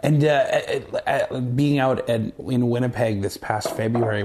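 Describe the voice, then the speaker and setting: With a Canadian Prairies accent, a man speaks at a medium pitch with ordinary pitch variation. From Canada, Saskatchewan (Moose Jaw). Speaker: actor. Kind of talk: casual chat.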